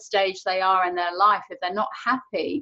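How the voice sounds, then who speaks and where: A woman with an English accent speaks at a fairly quick pace. Her pitch sits in the medium range. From England. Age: 50s. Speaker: online show host. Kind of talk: interview chat.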